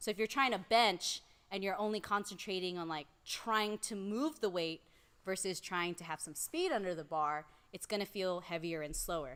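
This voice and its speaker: A woman talks at a moderate pace and medium pitch with lively intonation in a very clean recording with a silent background. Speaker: strength coach and powerlifter. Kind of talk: casual chat. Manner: loud.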